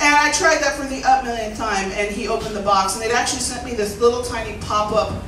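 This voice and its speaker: A woman with a high-pitched voice is heard over noticeable background noise. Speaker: comedian and storyteller. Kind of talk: live storytelling performance on stage. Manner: humorous.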